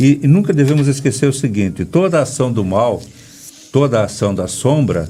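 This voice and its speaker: A man's medium-pitched voice is heard with music playing behind it. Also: moderate pace. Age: 60s. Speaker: breathwork therapist. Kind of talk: interview. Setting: radio studio, filmed for live video.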